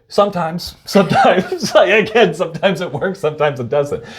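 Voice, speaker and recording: A man talks at a fairly quick pace with vocal fry. The background is quiet. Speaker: behavioral health consultant. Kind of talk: casual chat. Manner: fast.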